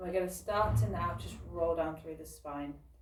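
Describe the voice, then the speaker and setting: A woman's voice amid noticeable background noise, with audible room echo. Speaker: fitness instructor. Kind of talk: guided workout class. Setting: recording alone, online class.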